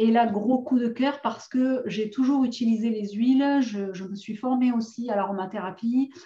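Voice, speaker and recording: A woman talks at a moderate pace with hardly any pauses. Her intonation stays fairly even. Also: fairly high pitch for a woman. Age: 40s. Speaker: essential oils seller and course presenter. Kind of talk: online course introduction. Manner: hesitant, many fillers.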